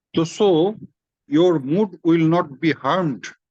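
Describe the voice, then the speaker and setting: The speaker talks at a very slow pace with a Bengali accent. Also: man. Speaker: spiritual teacher. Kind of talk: religious discourse in informal online meeting. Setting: video call. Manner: halting, with repeated words.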